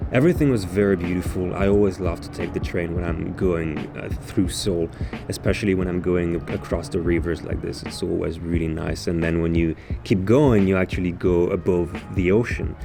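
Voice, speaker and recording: Speaking at a fairly quick pace, a man with a very deep, low pitch and ordinary pitch variation is heard through audible room echo and noticeable background noise. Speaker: vlogger. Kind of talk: travel vlog narration. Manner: casual, hesitant.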